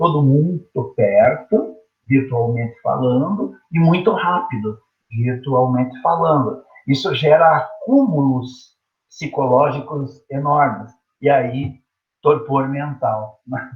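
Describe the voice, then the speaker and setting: Very slowly and somewhat breathily, a man speaks at a fairly high pitch with ordinary pitch variation. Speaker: teacher. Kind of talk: online lecture. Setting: teaching from home online. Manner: casual, conversational.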